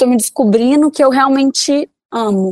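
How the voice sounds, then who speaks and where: At a moderate pace, a woman speaks with ordinary pitch variation in a dry, close sound with no echo. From Belo Horizonte, Minas Gerais, Brazil. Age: 20s. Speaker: fashion influencer. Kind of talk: interview.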